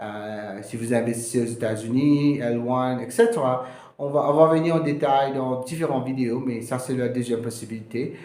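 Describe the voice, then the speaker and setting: With a Mauritian accent, a man speaks at a moderate pace and medium pitch with fairly even intonation, and the room echo is audible. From Mauritius. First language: Mauritian Creole (speaking French). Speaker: immigration lawyer. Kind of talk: informational video talk. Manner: halting, many hesitations.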